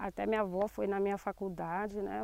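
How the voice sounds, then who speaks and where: In a dry, close sound with no echo, a woman talks at a moderate pace. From Brazil, Angra dos Reis (Rio de Janeiro state coast). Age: 40s. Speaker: teacher and shellfish gatherer, community representative. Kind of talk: interview testimony. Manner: halting, many fillers.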